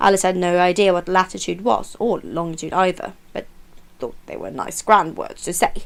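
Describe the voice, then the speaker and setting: A woman's medium-pitched voice at a moderate pace. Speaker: audiobook reader. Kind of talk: storybook reading.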